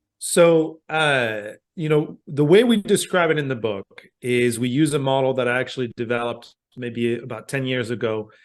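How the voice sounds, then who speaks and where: A man with a French accent at medium pitch and a moderate pace, with ordinary pitch variation against a quiet background. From France. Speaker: communication professor. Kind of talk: podcast interview.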